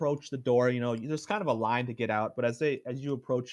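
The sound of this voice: An unforced reading voice is heard here.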